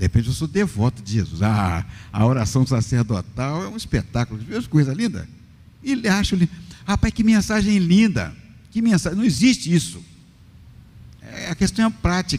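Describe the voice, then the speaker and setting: Somewhat breathy and fairly high-pitched, a man speaks at a moderate pace with very wide pitch swings and long, frequent pauses. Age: 60s. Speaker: pastor. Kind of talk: podcast interview with preaching. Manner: animated.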